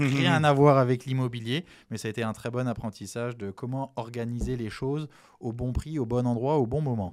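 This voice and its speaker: With fairly even intonation, a man of medium pitch talks at a moderate pace. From French Antilles. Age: 40s. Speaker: real estate investor. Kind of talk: interview.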